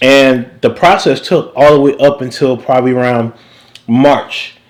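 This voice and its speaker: A fairly slow voice with an American accent, over noticeable background noise. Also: man, medium pitch for a man. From US South, Savannah, Georgia. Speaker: recording engineer and music teacher. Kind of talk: casual interview chat. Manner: animated.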